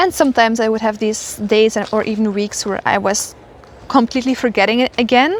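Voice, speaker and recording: Noticeable background noise sits behind this woman's fairly high voice. She talks at a fairly quick pace with ordinary pitch variation. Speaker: spiritual mentor. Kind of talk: casual spiritual monologue. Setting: outdoors walking.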